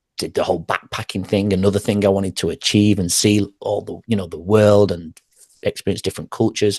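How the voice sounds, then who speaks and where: With an English accent, a man with a fairly low pitch and a dark, mellow tone talks at a fairly quick pace, the sound dry and close with no echo. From northern England, Manchester. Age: 40s. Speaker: former teacher and wellness coach. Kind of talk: podcast interview.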